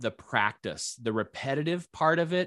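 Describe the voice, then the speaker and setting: In an ordinary speaking voice, a man with an American accent talks at a fairly slow pace with ordinary pitch variation. The sound is dry and close with no echo, very clean, with a silent background. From US Midwest, northwest Iowa. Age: 50s. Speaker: retired school technology director and archer. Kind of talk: casual interview.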